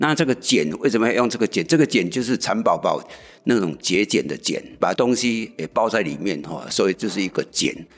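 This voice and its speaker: A man at medium pitch with vocal fry, lively intonation and a fairly quick pace, in a very clean recording with a silent background. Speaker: community association chairman. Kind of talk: interview explanation.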